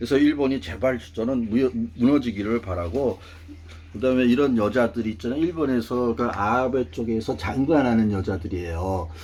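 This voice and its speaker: With lively intonation, a man talks at a medium pitch and a moderate pace. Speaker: political commentator. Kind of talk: monologue talk show. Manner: casual; halting.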